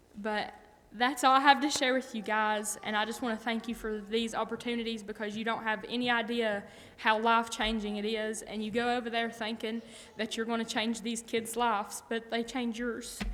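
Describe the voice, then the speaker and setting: A woman with an American accent speaks at a moderate pace in a fairly high pitch, her intonation monotone and flat, with audible room echo. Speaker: church member reporting on mission trips. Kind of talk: testimony. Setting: church.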